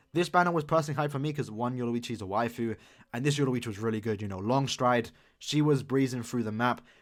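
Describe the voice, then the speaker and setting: A man talks in an animated tone at a very fast pace, recorded very cleanly with a silent background. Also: medium pitch for a man, ordinary pitch variation. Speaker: gaming YouTuber. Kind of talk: casual commentary tier list.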